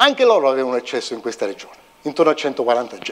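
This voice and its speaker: A man talks at a fairly quick pace with very wide pitch swings over a quiet background. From Italy. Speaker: physics professor and CERN researcher; physicist giving public lecture. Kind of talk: public lecture. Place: hall.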